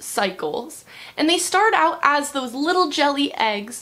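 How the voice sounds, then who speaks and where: A woman speaks in a raised, projected voice. Her pitch swings very widely, and her pace is very slow. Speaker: nature educator. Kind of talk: educational talk for children.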